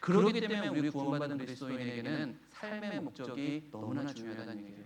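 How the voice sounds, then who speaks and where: Very wide pitch swings at a very fast pace. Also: man. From Chungcheong, Korea. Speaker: pastor. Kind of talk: sermon.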